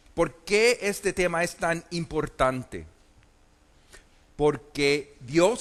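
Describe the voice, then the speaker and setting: A man with a high pitch speaks at a very slow pace with ordinary pitch variation. Noticeable background noise runs underneath. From Puerto Rico, then US from age eight. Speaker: preacher. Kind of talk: conference sermon. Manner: hesitant, many fillers.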